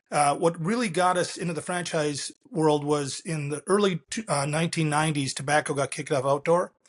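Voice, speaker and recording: With an American accent, a man in a plain, everyday voice speaks fairly quickly and with hardly any pauses, his fairly high pitch showing ordinary variation. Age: 60s. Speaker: business founder and CEO. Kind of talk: interview conversation.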